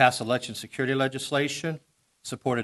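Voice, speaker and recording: This man speaks in a Missouri accent. His pitch sits in the medium range. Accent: Midwestern American (Missouri). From Missouri, Festus (Jefferson County). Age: 60s. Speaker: political candidate, state representative. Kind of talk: campaign speech at candidates forum. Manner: casual, folksy.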